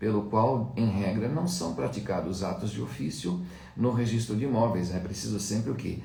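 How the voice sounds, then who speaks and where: A man with a fairly low pitch and lively intonation speaks at a moderate pace, with noticeable background noise and audible room echo. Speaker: law lecturer. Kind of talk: lecture. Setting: live stream.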